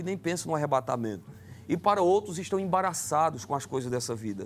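A high-pitched man at a very fast pace, with very wide pitch swings. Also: very clean recording, silent background. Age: 30s. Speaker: evangelist. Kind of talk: religious talk show discussion.

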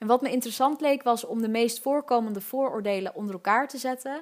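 This woman has an ordinary speaking voice, fairly high in pitch, with ordinary pitch variation. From Netherlands, Amsterdam (Nieuw-West). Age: 20s. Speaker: podcast host. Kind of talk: solo podcast monologue. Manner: casual, laughing often.

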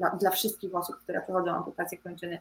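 Medium in pitch, a woman's voice comes across with a bright, sharp tone. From central Poland, Łódź region village. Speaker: amputee support project coordinator. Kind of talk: interview. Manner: hesitant, with filler sounds.

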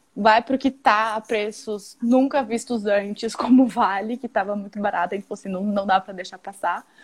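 A woman speaks at a fairly quick pace with hardly any pauses, her voice fairly high and somewhat breathy. Her intonation stays fairly even, though her loudness swings widely. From Mato Grosso do Sul, Brazil. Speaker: investor relations at an investment firm. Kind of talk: live-stream interview.

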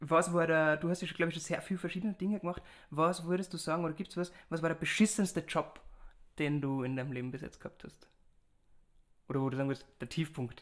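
At a very fast pace, a man talks with long, frequent pauses. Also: fairly high pitch for a man, ordinary pitch variation. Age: 30s. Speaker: podcast host. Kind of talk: interview. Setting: studio, face to face.

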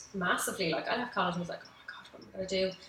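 Noticeable background noise surrounds a woman speaking. She has a Dublin accent and a medium pitch. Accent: Dublin Irish. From Ireland, Dublin area (Howth). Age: 30s. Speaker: restaurant founder. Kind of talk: interview, casual chat.

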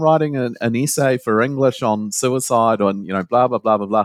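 A man with a New Zealand accent speaks at a medium pitch and a moderate pace. His intonation is lively, and the recording is very clean with a silent background. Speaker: university lecturer and suicide prevention researcher. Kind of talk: interview.

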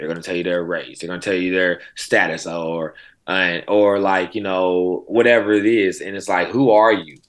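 A man's very deep, low voice in an American accent, fairly even in intonation, over a quiet background. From Oklahoma City. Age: 30s. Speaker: poetry program founder and educator. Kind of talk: interview conversation.

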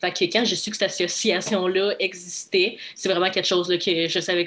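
With noticeable background noise behind her, a woman speaks fairly quickly in a fairly low pitch. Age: 20s. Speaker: law student. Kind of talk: interview.

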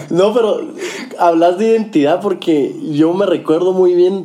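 This man's dark, mellow voice moves through very wide pitch swings. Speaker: talk show host. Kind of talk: casual interview.

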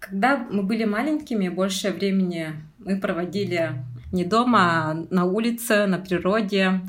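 A woman talks rather slowly in a mid-range voice, her pitch rising and falling normally. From Yakutia, rural Tatta district. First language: Sakha (Yakut) (speaking Russian). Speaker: junior researcher, eco-activist. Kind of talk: personal interview.

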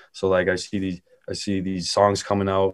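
A man speaks with a Western Canadian accent. His voice is fairly low and his pace fairly quick. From Calgary, Alberta. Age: 20s. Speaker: rapper and music producer. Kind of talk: casual interview. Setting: in his bedroom, remote call.

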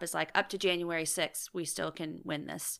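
A woman speaks at a fairly low pitch with monotone, flat intonation and vocal fry. Her tone is bright and sharp, in a very clean recording with a silent background. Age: 40s. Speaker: podcast co-host. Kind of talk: casual chat.

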